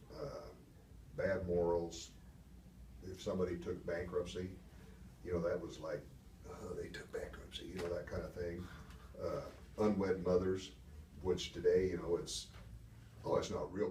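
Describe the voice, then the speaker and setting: Speaking with an American accent, a man moves at a moderate pace, leaving long, frequent pauses and swinging widely in loudness. The room echo is audible. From Wisconsin, US Midwest. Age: 70s. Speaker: Air Force veteran, banker. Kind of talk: oral history interview. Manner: halting.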